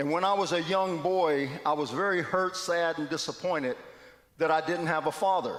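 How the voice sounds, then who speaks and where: A man with an ordinary speaking voice talks at a moderate pace and a fairly high pitch, his pitch varying in an ordinary way. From West Virginia. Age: 60s. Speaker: guest speaker at church. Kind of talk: testimony. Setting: church.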